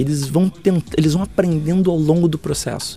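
This is a man speaking. His pace is moderate. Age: 40s. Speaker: futurist and speaker. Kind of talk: interview. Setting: backstage at an event. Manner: hesitant with repetitions.

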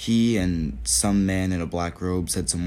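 Audible room echo around a man's very deep, low voice. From US Northeast, Connecticut. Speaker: storyteller. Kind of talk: personal reflection narration.

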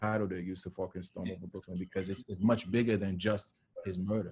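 This voice, with an American accent, has a dark, mellow tone and sounds somewhat breathy. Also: man. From New York, Westchester. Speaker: documentary filmmaker. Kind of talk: casual interview.

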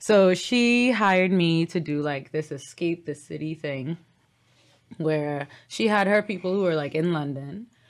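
A woman speaks at a fairly slow pace with a fairly low pitch. She has a normal speaking voice and lively intonation. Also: very clean recording, silent background. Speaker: yoga teacher and hoop performer. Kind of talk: casual interview chat.

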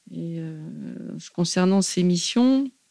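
This woman has a dark, mellow tone. The sound is dry and close, without any echo. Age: 40s. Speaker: river police commander. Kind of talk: interview.

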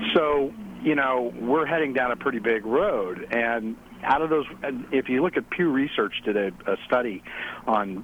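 A man talks with an unremarkable speaking voice at a medium pitch. His pace is moderate. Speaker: caller. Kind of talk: casual phone conversation. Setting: phone call.

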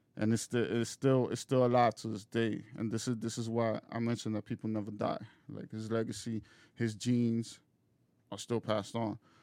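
A man speaks in a monotone at a medium pitch, with flat intonation and a dark, mellow tone. The sound is dry and close with no echo, on a very clean recording with a silent background. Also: moderate pace. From Dominican Republic. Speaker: spiritual practitioner. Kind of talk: casual interview.

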